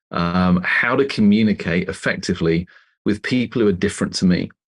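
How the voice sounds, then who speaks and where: A man with a British accent, fairly low pitch, lively intonation, and a dry, close sound without echo. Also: quiet background. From England. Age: 50s. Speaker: author and leadership consultant. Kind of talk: interview.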